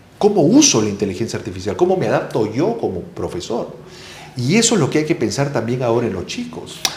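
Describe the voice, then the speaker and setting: A man speaks at a very fast pace with very wide pitch swings. Noticeable background noise and audible room echo fill the recording. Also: medium pitch for a man. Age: younger than 60. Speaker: education expert. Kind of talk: interview conversation. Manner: analytical, explanatory.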